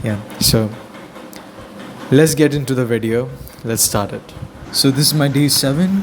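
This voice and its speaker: Over noticeable background noise, a man with a non-native accent speaks at a fairly slow pace with ordinary pitch variation. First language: not English. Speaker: beginner artist vlogger. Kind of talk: casual vlog narration. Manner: halting, self-correcting.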